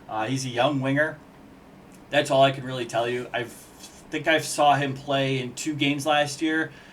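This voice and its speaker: Audible room echo follows a man's fairly high voice. His intonation stays monotone and flat. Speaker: hockey commentator. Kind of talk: casual video analysis. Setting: on camera at home with whiteboard. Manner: fast.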